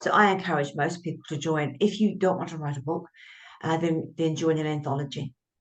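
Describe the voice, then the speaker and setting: With a New Zealand accent, a woman talks at a fairly quick pace. Her very deep, low voice keeps fairly even intonation. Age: 70s. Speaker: author and writing coach. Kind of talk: interview conversation.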